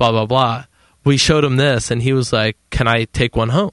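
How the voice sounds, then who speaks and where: The sound is dry and close with no echo as a man with a plain, everyday voice speaks at a medium pitch with fairly even intonation. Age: 30s. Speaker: homebrew supply company staff. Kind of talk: casual chat. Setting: studio.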